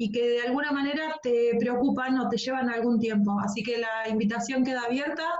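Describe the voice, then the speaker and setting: Speech comes at a moderate pace with fairly even intonation and audible room echo. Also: woman. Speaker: radio host. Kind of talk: radio talk show.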